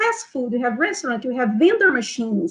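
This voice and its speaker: Her pitch is high and swings very widely. This woman speaks with a Brazilian Portuguese accent. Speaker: nutrition health coach. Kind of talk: online seminar. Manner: hesitant, many fillers.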